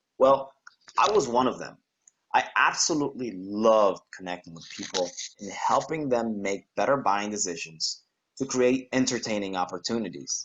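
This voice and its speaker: A man with a Spanish accent. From Panama. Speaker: graduating student. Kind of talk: prepared speech.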